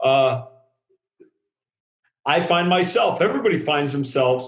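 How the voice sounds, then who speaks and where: A loud male voice with ordinary pitch variation. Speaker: drilling industry safety writer. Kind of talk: podcast discussion.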